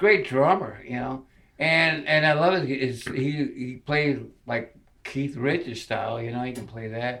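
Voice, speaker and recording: Over noticeable background noise, a man speaks fairly slowly at medium pitch with ordinary pitch variation. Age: 70s. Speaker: guitarist. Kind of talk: interview. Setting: studio. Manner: halting, repeats words.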